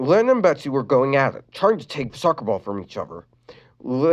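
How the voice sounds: With lively intonation, the speaker reads in a natural voice.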